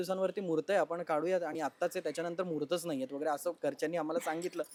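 A man's voice, high in pitch. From Maharashtra, Ambarnath. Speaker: actor. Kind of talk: casual interview chat. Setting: at his family home.

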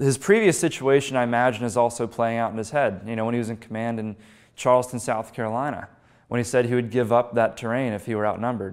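Very fast speech in an American accent, with fairly even intonation over a quiet background. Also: man. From western Pennsylvania, Pittsburgh; Pennsylvania. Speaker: history speaker, former battlefield guide; speaker, former battlefield guide. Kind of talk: public history lecture. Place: meeting room. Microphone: lapel.

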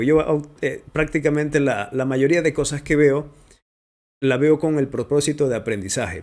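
Fairly high male voice, ordinary in its pitch variation. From Ecuador, Manabí coast; Ecuador. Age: 30s. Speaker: voice-over artist and digital media producer; interviewee, content creator. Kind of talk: interview. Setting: home studio. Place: home room. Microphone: studio mic.

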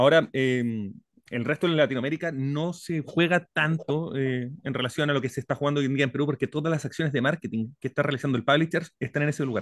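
A man with a Chilean accent talks at a very fast pace and a fairly high pitch. The sound is dry with no echo, over a quiet background. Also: fairly even intonation. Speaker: audience participant; audience member. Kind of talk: audience question. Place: home room. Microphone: studio mic.

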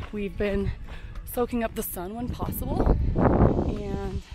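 A woman is speaking, and the sound is dry with no echo. Clear music plays in the background. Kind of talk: casual vlog chat. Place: forest. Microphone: phone near.

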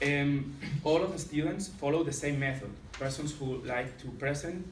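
A man with a Catalan accent speaks at a moderate pace and a fairly high pitch. Faint music plays in the background, and the room echo is audible. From Catalonia, Spain. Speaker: secondary school teacher. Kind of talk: conference presentation. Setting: conference with slides. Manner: halting, hesitant with many fillers. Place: meeting room. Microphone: camera far.

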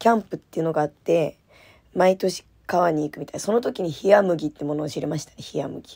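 Speaking fairly quickly, a woman has a fairly low voice with a dark, mellow and relaxed tone. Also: ordinary pitch variation. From landlocked Japanese prefecture. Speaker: idol radio host. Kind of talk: casual solo radio talk. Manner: laughing often, relaxed.

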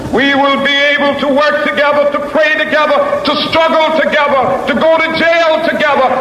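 A man with an extremely high pitch speaks in a raised, projected voice at a moderate pace, his intonation fairly even. Audible room echo and light background noise accompany him. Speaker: civil rights leader and Baptist minister giving a public speech. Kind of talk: oratory, public speech to a crowd. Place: stage.

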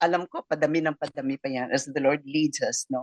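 A woman speaks with a very deep, low pitch in a dry, close sound with no echo. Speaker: radio host. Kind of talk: casual chat.

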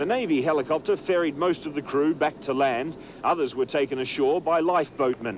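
A man talks at a fairly quick pace and fairly high pitch, with ordinary pitch variation, over noticeable background noise. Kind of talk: 1980s TV news report, scripted narration. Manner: formal, brisk, even-toned newsreader delivery.

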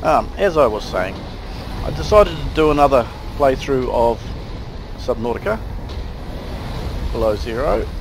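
A man speaks with long, frequent pauses. Noticeable background noise can be heard. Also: moderate pace. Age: 60s. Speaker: gamer. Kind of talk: gameplay commentary. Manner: casual.

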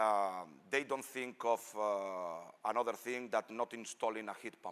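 A man speaks with a non-native accent. His pace is fairly slow. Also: fairly low pitch for a man, ordinary pitch variation. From Spain. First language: Spanish. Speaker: engineer; presenter. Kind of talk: technical presentation. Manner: halting. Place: hall.

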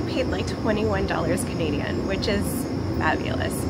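A woman is speaking. Loud background noise fills the recording. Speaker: vlogger. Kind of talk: casual talk to camera. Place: garden.

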